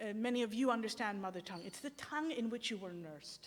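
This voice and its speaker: A woman rushes along at a very fast pace with lively intonation. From Sri Lanka. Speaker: theologian. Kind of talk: academic lecture. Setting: symposium with audience. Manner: halting, with false starts.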